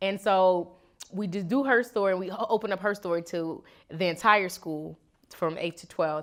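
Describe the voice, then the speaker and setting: A woman with an American accent and an unremarkable speaking voice at medium pitch, in a very clean recording with a silent background. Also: ordinary pitch variation, moderate pace. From Chicago. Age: 20s. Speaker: activist and educator. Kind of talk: interview.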